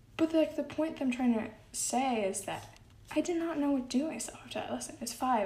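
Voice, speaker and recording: Her pitch varies in an ordinary way. The room echo is audible as the woman talks. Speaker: solo podcast host. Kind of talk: casual monologue. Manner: giggly, frequent laughs.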